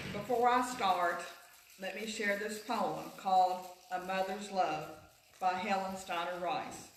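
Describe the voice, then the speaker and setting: Amid audible room echo and noticeable background noise, a woman speaks at a fairly slow pace and medium pitch with fairly even intonation. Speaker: teacher giving a Mother's Day talk at church. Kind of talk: church talk. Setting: church. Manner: loud, projected teacher voice.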